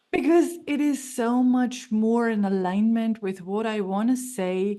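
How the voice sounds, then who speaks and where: A woman with a German accent, fairly high pitch, a dark, mellow tone, ordinary pitch variation and a fairly slow pace. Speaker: stress relief coach. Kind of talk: interview conversation.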